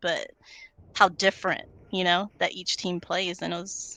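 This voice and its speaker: Over a quiet background, a woman speaks at a fairly quick pace with a bright, sharp tone and medium pitch. The sound is dry and close with no echo. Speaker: commentator. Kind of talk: post-match panel discussion.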